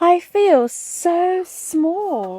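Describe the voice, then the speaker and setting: A woman does a put-on character voice at an extremely high pitch. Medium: read story.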